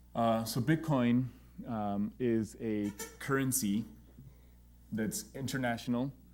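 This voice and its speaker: At a very slow pace with long, frequent pauses, a man with an American accent speaks at medium pitch with ordinary pitch variation. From Texas, El Paso. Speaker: pediatric gastroenterologist and entrepreneur. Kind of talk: lecture. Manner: informal, halting with fillers.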